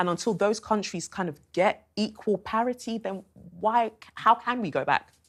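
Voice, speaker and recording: This woman talks with a British accent, her pitch fairly high and its variation ordinary. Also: moderate pace. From England, came from Nigeria aged five. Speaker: TV debate guest, commentator. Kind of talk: TV panel discussion.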